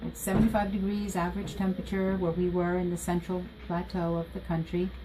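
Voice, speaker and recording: A woman's fairly low, flat, monotone voice in an American accent, moving at a fairly quick pace over noticeable background noise. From Costa Rica until age 5, then Washington DC area. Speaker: school counselor. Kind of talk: interview.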